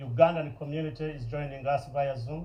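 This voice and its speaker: In a room with audible echo, a man talks fairly slowly at a fairly high pitch, somewhat breathy, with ordinary pitch variation. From Uganda. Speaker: nonprofit founder. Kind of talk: public speech. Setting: stage with audience.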